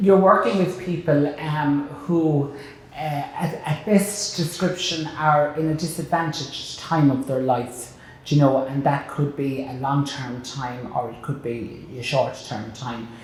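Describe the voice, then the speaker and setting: Speaking with a Kilkenny accent, a man has a fairly high pitch, ordinary pitch variation and a fairly slow pace, with big swings in loudness. Room echo is audible, and background noise is noticeable. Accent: Irish, Kilkenny. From Ireland, Kilkenny. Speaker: broadcaster and chef, interview host. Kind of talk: interview. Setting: board room.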